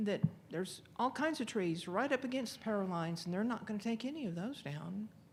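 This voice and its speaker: A woman with a medium-pitched, somewhat breathy voice speaks with very wide swings in pitch. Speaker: resident speaking at public comment. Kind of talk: public comment at council meeting. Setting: city council meeting. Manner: halting, self-described stuttering.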